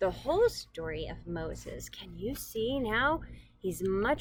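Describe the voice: Reading aloud, plainly done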